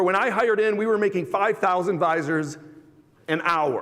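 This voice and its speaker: With an animated tone and a high pitch, a man speaks amid audible room echo and noticeable background noise. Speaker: automotive industry executive. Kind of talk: conference presentation. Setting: stage with audience. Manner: fast.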